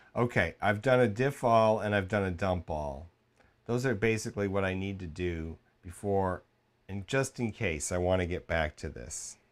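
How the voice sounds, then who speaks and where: This man has an ordinary speaking voice, fairly low in pitch with ordinary pitch variation, talking at a moderate pace in a very clean recording with a silent background. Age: 50s. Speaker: RC hobbyist streamer. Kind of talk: live stream tutorial. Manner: casual, rambling.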